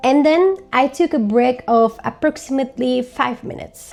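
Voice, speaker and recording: With a Turkish accent, a woman speaks at a moderate pace in a high pitch with lively intonation, amid noticeable background noise. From Turkey. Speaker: language learning vlogger. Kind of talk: tutorial.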